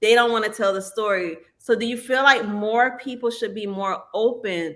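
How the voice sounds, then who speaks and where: A woman is speaking. She has a Southern US accent. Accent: Norfolk Virginia, Southern US. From Norfolk, Virginia. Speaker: podcast host. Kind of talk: interview.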